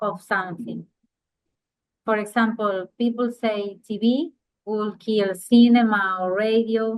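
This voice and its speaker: A woman with a Spanish accent speaks at a fairly slow pace and a fairly high pitch, keeping her intonation fairly even. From Uruguay. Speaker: interviewer. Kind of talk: interview, reading prepared questions.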